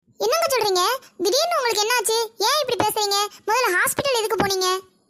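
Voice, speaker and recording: Putting on a squeaky character voice, a woman talks at a fairly quick pace and an extremely high pitch. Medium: comedy sketch. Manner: matter-of-fact.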